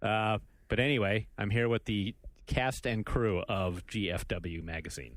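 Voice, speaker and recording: Fairly low in pitch, a man talks at a fairly slow pace. He has an ordinary speaking voice. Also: ordinary pitch variation. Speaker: podcast host. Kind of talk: casual chat.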